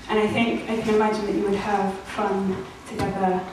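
Noticeable background noise and strong room echo surround a woman as she speaks. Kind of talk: live performance speech. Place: hall.

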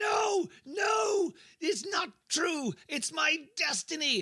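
Using a put-on character voice at an extremely high pitch, a man talks at a very slow pace. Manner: bellowing, arrogant, then disbelieving.

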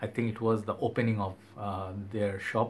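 Over light background noise, a man with a fairly low pitch sounds somewhat breathy and speaks in a flat monotone. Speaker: fragrance reviewer. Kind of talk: casual vlog chat. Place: home room.

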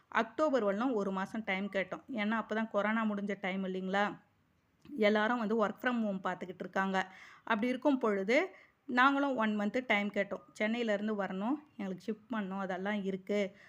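On a very clean recording with a silent background, a woman speaks in an ordinary speaking voice at a medium pitch with fairly even intonation. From Chennai, Tamil Nadu. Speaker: personal finance vlogger. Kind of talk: vlog monologue.

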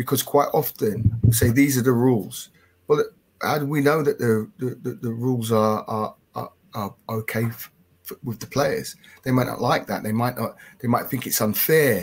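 With an English accent, a man talks at a moderate pace with ordinary pitch variation. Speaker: football coach and development officer. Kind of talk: webinar discussion. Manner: chatty, halting, self-correcting. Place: home room. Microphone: headset.

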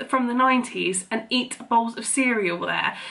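The speaker is a woman with ordinary pitch variation. She talks at a fairly slow pace. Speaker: vlogger. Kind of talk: casual vlog chat. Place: kitchen. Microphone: phone near.

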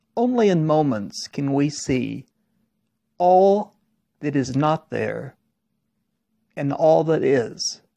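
A man with an Oklahoma accent, fairly high in pitch with a dark, mellow tone, very slow and full of long, frequent pauses, his intonation lively. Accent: Oklahoma American. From Oklahoma, Tulsa. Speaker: poet. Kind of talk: poetry reading.

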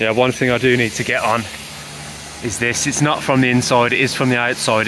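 Noticeable background noise sits under a man's voice, which sounds dry with no echo. He talks at a moderate pace. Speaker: car owner vlogger. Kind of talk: casual vlog chat. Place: street. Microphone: phone near.

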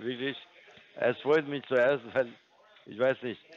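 Ordinary pitch variation from a man with a non-native accent. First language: not German (speaking German). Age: 50s. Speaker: scam caller posing as trading firm support. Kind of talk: sales pitch. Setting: phone call. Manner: halting.

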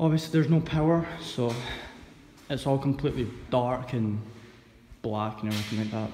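A man's fairly even intonation is heard with noticeable noise in the background. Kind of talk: casual vlog chat. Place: factory. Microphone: phone near.

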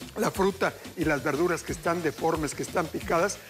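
A man talks with ordinary pitch variation. Clear music plays in the background. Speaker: TV cooking show host. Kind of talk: TV cooking tips monologue. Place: studio. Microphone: lapel.

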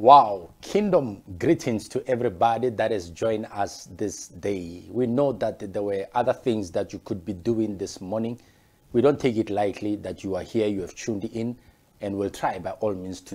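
The voice belongs to a man with a fairly low pitch. He speaks at a moderate pace with ordinary pitch variation. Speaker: pastor. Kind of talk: sermon. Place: office. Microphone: lapel.

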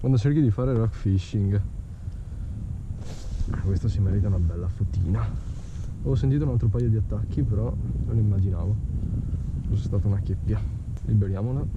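A man talking at a fairly quick pace over noticeable background noise. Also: dry sound with no echo. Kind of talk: casual vlog commentary. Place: boat. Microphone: phone near.

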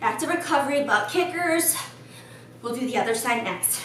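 Amid noticeable background noise and audible room echo, a woman speaks in a high pitch. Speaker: fitness instructor. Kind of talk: workout instruction. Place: gym.

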